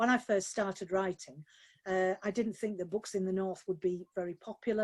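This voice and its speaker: With a Yorkshire accent, a woman at medium pitch talks at a fairly quick pace with fairly even intonation, in a dry, close sound with no echo. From Yorkshire, Barnsley. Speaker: novelist. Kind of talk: live webinar Q&A. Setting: video call from home office.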